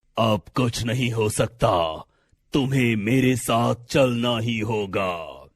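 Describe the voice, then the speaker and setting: Putting on a cartoonish character voice, a man speaks very slowly at a medium pitch. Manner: stern, authoritative.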